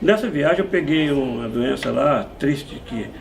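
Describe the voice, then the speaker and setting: A man talks at a moderate pace. The room echo is audible, and background noise is noticeable. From Brazil, São Paulo interior (moved from Minas Gerais as baby). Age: 70s. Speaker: musician and music shop owner. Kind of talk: interview conversation.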